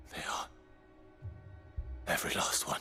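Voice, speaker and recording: A man performs a put-on character voice. Clear music plays in the background. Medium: short film. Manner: grim, restrained.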